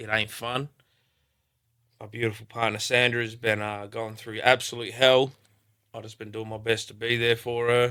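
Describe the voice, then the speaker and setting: A bright, sharp tone with an Australian accent and monotone, flat intonation. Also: man. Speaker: rapper. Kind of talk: casual chat. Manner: casual, halting with fillers.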